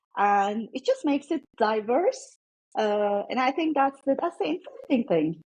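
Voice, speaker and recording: Speaking with a Turkish accent at a moderate pace, a woman has a high pitch that swings very widely. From Turkey. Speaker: former tech executive. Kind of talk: interview conversation.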